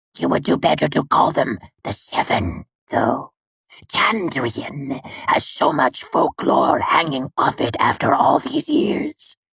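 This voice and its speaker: Put-on character voice from a man, delivered at a fairly slow pace. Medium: read story. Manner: dry, nonchalant, mocking.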